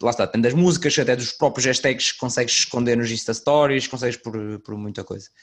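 A man talks at a fairly quick pace with a northern Portuguese accent. His pitch sits in the medium range and varies in an ordinary way. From northern Portugal. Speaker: podcast host. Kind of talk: casual chat.

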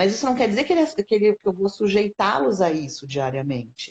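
Somewhat breathy, a woman at medium pitch lets her voice move through very wide pitch swings. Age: 50s. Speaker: educator and animal-assisted therapy specialist. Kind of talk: interview conversation.

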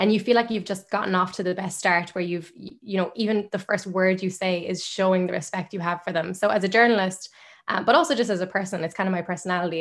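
A woman talks at a very fast pace in an Irish accent, with hardly any pauses. Her medium-pitched voice keeps a fairly even intonation. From Ireland, Limerick. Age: 20s. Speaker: journalist and media founder. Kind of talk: podcast interview.

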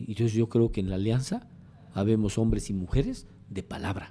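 At a moderate pace and medium pitch, a man speaks in a dark, mellow tone with fairly even intonation and long, frequent pauses. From Mexico, Comitán, Chiapas. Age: 60s. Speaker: politician. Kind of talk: interview.

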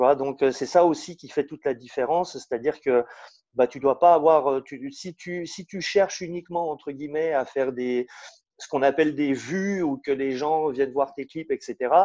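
A man's dark, mellow voice at a fairly high pitch, with fairly even intonation, big swings in loudness, and a dry, close sound with no echo. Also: moderate pace. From Switzerland (Lausanne). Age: 40s. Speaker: rapper. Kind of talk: interview. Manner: halting, many repetitions and fillers.

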